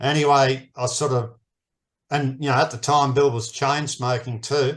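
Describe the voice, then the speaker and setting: Monotone, flat intonation from a man with an Australian accent, at a moderate pace against a quiet background. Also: medium pitch for a man. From Australia, New South Wales. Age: 60s. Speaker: permaculture teacher. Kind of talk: interview.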